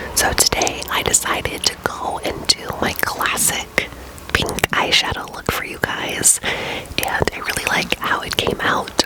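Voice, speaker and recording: Noticeable background noise accompanies a woman whispering at a fairly slow speed. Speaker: ASMR creator. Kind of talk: ASMR makeup tutorial. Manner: whispered.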